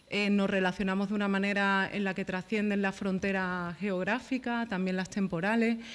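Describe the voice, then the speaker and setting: A woman talks at a fairly quick pace in a monotone, flat intonation. The recording is very clean, with a silent background. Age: 30s. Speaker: journalist and panel speaker. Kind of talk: round-table talk. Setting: panel with live audience. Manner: soft-spoken; halting, many repetitions.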